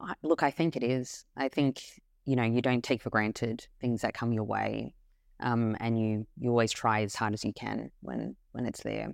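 The speaker has an Australian accent and a moderate pace. The background is quiet. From Australia, Melbourne. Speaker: brand CEO and co-founder. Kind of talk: interview.

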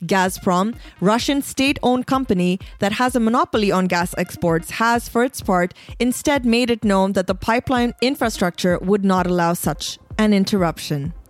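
In a dry, close sound with no echo, a woman with a normal speaking voice keeps a medium pitch, ordinary pitch variation, very even loudness and a moderate pace. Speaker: podcast host. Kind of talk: formal news reading, scripted press-review bulletin. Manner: measured, even and neutral newsreader delivery; crisp, steady pace with clear enunciation.

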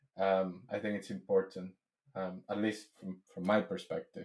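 A man speaks with a Spanish accent. His pace is fairly slow. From Venezuela. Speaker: software engineer. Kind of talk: casual interview.

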